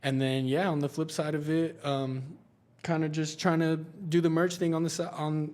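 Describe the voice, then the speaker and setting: A man speaks with monotone, flat intonation at a moderate pace and a fairly high pitch. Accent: American. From Eastern Washington, US. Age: 20s. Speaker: basketball brand founder and event organizer. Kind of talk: podcast interview. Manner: casual, many fillers.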